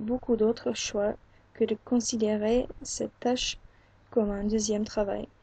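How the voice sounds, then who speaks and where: Somewhat breathy and with a dark, mellow tone, a woman with an English accent speaks at a fairly high pitch in a monotone, flat intonation, at a very slow pace with long, frequent pauses. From England. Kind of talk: book reading.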